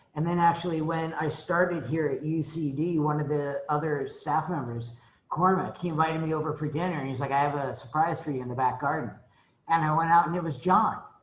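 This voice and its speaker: The speech moves at a fairly quick pace with fairly even intonation, and audible room echo surrounds it. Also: man, fairly high pitch for a man. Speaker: economics professor. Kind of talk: welcome talk to new students. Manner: casual, conversational.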